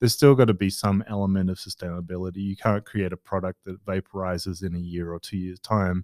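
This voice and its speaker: A man speaks with an Australian accent in a very deep, low pitch and a monotone, flat intonation, captured in a very clean recording with a silent background and a dry, close sound with no echo. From Western Australia (Perth). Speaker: product manager. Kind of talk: interview. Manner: hesitant, many fillers.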